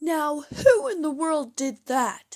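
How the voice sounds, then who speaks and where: A woman speaks in a put-on character voice. Her pitch sits high, with lively intonation. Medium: read story.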